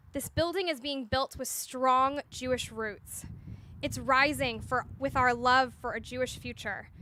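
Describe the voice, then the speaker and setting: With a raised, projected voice, a woman speaks at a fairly slow pace in a high pitch, her tone bright and sharp and her intonation fairly even. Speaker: Hillel director leading groundbreaking ceremony. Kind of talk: ceremonial speech.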